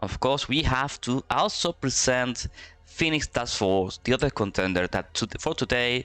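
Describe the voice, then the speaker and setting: Recorded with a dry, close sound and no echo, a man in a Spanish accent speaks at medium pitch with a bright, sharp tone and ordinary pitch variation. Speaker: esports commentator. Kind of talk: live commentary. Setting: live stream. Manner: halting.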